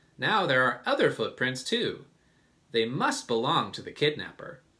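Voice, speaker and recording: A man's high-pitched, put-on character voice, raised and projected, at a moderate pace. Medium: read story. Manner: confident, measured.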